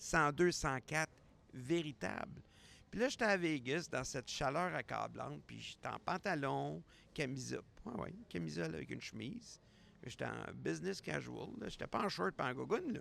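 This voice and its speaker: Speech comes at a moderate pace. It is delivered in a Quebec accent. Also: man. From Quebec, Montreal. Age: 60s. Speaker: podcast host. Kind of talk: casual solo podcast monologue. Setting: airport.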